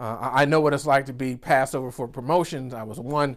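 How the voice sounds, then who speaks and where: In a very clean recording with a silent background, a man with a Southern US accent and a fairly high pitch talks at a fairly quick pace with ordinary pitch variation. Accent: Southern US (Georgia). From US South, rural Georgia. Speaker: business coach. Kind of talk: virtual keynote speech. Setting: virtual summit recording. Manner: animated.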